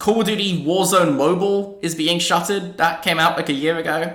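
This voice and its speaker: A man speaks at a high pitch with fairly even intonation. Noticeable background noise and audible room echo surround him. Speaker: gaming podcast host. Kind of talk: casual chat.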